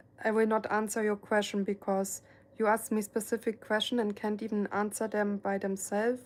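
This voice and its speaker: A woman speaks with a German accent at a fairly high pitch. The recording is very clean, with a silent background. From Germany. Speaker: painter and live streamer. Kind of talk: casual live stream chat. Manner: soft-spoken; hesitant, many fillers.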